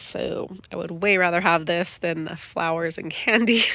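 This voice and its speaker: With a bright, sharp tone, a woman speaks at a fairly slow pace, the sound dry with no echo over a quiet background. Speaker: home gardener vlogger. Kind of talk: casual vlog chat. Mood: cheerful, pleased. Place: garden. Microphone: phone near.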